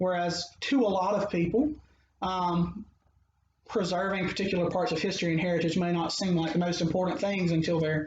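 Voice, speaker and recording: With a Mississippi accent, a man speaks at a fairly quick clip in a high pitch, his loudness very even and his pitch varying an ordinary amount. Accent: Mississippi Southern US. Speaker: anthropologist. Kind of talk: interview conversation. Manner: hesitant, many fillers.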